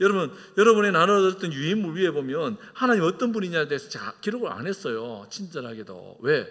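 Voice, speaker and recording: Using vocal fry and very wide pitch swings, a man speaks fairly quickly at a fairly high pitch in a very clean recording with a silent background. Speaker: senior pastor. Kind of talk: sermon.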